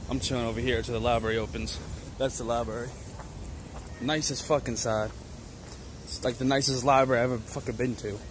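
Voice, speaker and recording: A man with an American accent at a very fast pace, fairly even intonation, long and frequent pauses, a dry sound with no echo and noticeable background noise. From southwestern Pennsylvania. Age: 20s. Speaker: vlogger. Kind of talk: casual vlog talk to camera. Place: street. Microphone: phone near.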